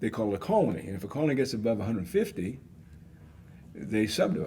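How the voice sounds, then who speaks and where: At a very fast pace, a man speaks with fairly low pitch in a dark, mellow tone, somewhat breathy, with lively intonation. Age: 70s. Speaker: author and conflict management expert. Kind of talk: podcast interview. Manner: conversational, folksy.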